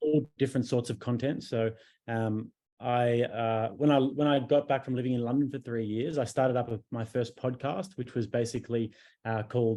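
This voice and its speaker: A man with an Australian accent talks at a moderate pace in a dark, mellow tone. His intonation stays fairly even against a quiet background. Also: medium pitch for a man. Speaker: podcaster and YouTuber. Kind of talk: interview conversation.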